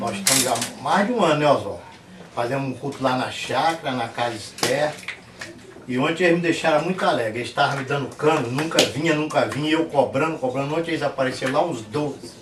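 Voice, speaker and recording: Speaking very fast with ordinary pitch variation, a man with a fairly high voice is heard through audible room echo and noticeable background noise. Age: 60s. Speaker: lay preacher and church builder. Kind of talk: testimony.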